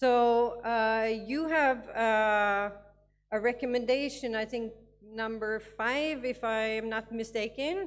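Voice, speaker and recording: Over background music, a woman with a non-native accent talks at a very slow pace with ordinary pitch variation. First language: not English. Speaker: education advisor. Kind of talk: conference talk. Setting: conference with audience. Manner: halting, many fillers.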